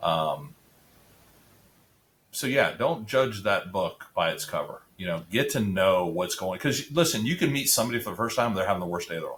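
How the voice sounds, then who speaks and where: At a moderate pace, a man with an American accent speaks with very wide pitch swings. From Central Florida (Apopka). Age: 50s. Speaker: high school athletics advocate. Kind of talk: casual interview chat. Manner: halting, many fillers and repeats.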